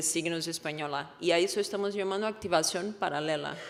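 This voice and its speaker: Audible room echo surrounds a woman with a Portuguese accent. She talks at a moderate pace with ordinary pitch variation. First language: Portuguese (speaking Spanish). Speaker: researcher. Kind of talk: conference talk.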